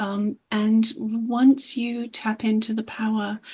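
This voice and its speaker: Her fairly high voice is somewhat breathy as the woman speaks. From England. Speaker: English teacher. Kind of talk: interview.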